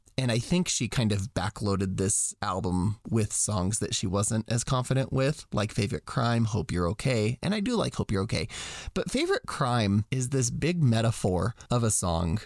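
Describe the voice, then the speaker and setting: A man with an unremarkable speaking voice and medium pitch talks at a moderate pace with lively intonation, very even loudness and hardly any pauses, in a dry, close sound with no echo against a quiet background. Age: 30s. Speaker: podcast host. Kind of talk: casual chat.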